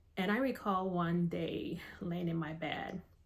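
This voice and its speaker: This woman talks at a very slow pace with a fairly low pitch and vocal fry. Her intonation stays fairly even. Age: 50s. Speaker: army warrant officer, cancer survivor. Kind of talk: personal story told to camera.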